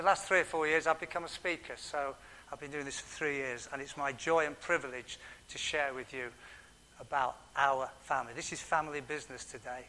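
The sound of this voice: A man speaks at a fairly quick pace with medium pitch and fairly even intonation. His tone is bright and sharp.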